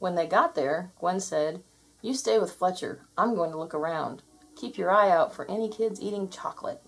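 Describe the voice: The reading aloud is plain, and the pitch moves in an ordinary way.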